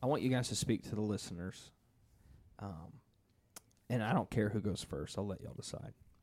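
A man speaks fairly quickly with lively intonation and vocal fry, at a fairly low pitch. Long pauses come often. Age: 20s. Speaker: church podcast host. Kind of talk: casual interview.

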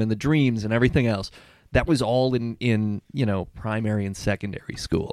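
With an American accent and a normal speaking voice, a man talks at a fairly quick pace and a medium pitch. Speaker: podcast host. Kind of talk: comedy game show. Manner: playful.

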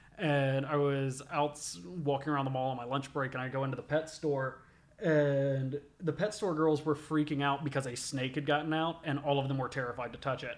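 A man speaks with an American accent in an ordinary speaking voice, pitched fairly high. His intonation stays fairly even, and his pace is fairly quick. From US South, southwest Georgia (Albany area). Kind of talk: casual chat. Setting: studio, eating pizza while recording.

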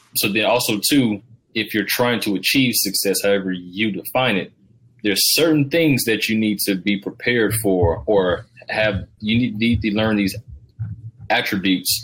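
This man has an ordinary speaking voice with an American accent and a fairly low pitch. He moves at a moderate pace with ordinary pitch variation. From US South, Georgia. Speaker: podcast host. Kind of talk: podcast interview.

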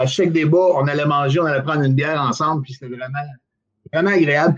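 Here a man speaks at a fairly high pitch. His voice is somewhat breathy. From Quebec, Outaouais. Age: 50s. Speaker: bus driver and former political candidate. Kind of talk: casual political interview. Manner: halting, with frequent repetitions.

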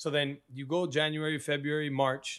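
A man speaks at a fairly high pitch. The recording is very clean, with a silent background. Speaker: actor. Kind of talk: casual interview chat, storytelling. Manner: casual, says 'bro' often.

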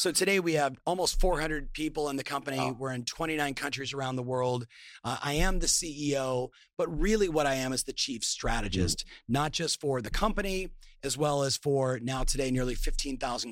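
This man's voice is fairly high. He keeps a moderate pace. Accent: Californian. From Southern California. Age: 50s. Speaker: entrepreneur and business coach. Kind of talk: online summit interview.

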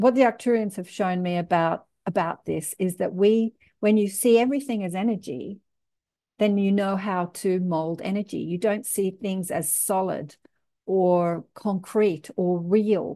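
A woman with an Australian accent talks at a fairly slow pace, with medium pitch and ordinary pitch variation. Her tone is dark and mellow, and the background is quiet. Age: 60s. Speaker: podcast host. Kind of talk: casual interview chat.

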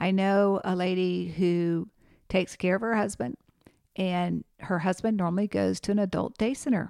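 Heard in a very clean recording with a silent background and a dry, close sound with no echo, a woman uses an ordinary speaking voice at a medium pitch and moderate pace with fairly even intonation. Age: 50s. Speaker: podcast host and geriatric nurse. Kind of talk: educational solo podcast.

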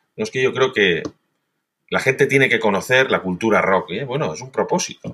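With very wide pitch swings, a man speaks using vocal fry. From Spain, Valencia. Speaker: radio executive. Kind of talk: interview.

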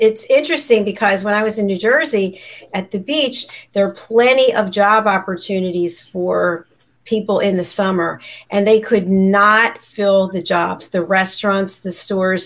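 A woman's normal speaking voice, medium in pitch, with ordinary pitch variation and a moderate pace. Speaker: talk show host. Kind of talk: live broadcast panel show. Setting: studio.

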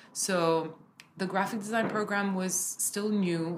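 A woman speaks over noticeable background noise. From Kuwait then Lebanon. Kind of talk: interview conversation.

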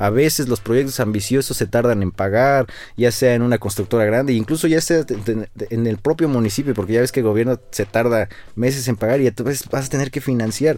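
A man's medium-pitched voice, dark and mellow in tone, runs at a fairly quick pace with ordinary pitch variation. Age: 30s. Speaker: structural engineer and podcast host. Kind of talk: casual interview chat.

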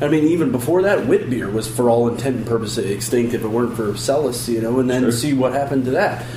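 Speaking at a very fast pace with hardly any pauses and ordinary pitch variation, a man is heard over noticeable background noise and audible room echo. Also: medium pitch for a man. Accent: American. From Chicago. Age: 30s. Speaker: brewery staff. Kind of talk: radio interview.

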